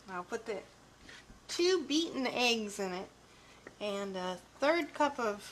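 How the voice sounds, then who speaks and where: This woman's fairly high voice swings very widely in pitch. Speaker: cooking show co-host. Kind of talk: live cooking demonstration. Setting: live video stream. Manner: soft-spoken.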